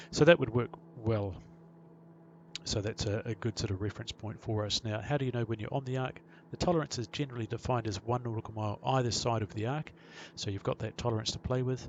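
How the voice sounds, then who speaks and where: Words come at a very fast pace from a man. He sits at a medium pitch and varies it in an ordinary way. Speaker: pilot and flight sim tutorial maker. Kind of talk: tutorial.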